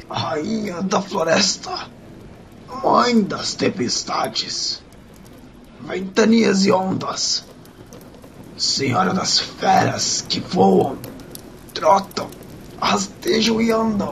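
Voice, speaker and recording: A man puts on a menacing character voice, pitched high and spoken very slowly with long, frequent pauses over clear background noise. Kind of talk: solemn ritual invocation. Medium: audio drama. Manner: defiant, prophetic, menacing.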